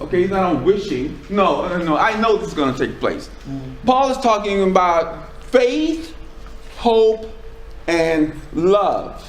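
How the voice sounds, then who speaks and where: A loud man speaks very slowly in an American accent, his high voice swinging very widely in pitch. Noticeable background noise and audible room echo are present. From US South, Charleston, South Carolina. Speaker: preacher. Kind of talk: sermon. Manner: halting.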